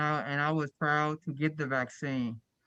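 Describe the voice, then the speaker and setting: The speech moves at a moderate pace, with a dry, close sound, no echo and a quiet background. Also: man. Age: 60s. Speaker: self-advocate and group home worker. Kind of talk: panel Q&A testimony. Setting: webinar video call. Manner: halting, many repetitions.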